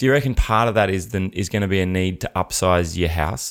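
In an Australian accent, a man speaks at a moderate pace with a very deep, low pitch on a very clean recording with a silent background. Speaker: comedian, podcast host. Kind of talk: casual chat.

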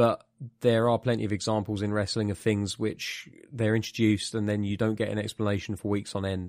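On a very clean recording with a silent background, a man with a British accent talks at a fairly low pitch and a fairly quick pace. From UK. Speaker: podcast host. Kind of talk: casual chat.

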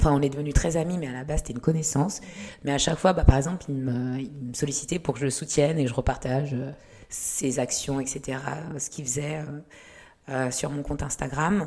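A woman speaks at a fairly quick pace in a very deep, low voice with fairly even intonation. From Lyon, France (born in Rwanda, arrived age 8). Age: 30s. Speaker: model and activist. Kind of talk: casual interview. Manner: talkative.

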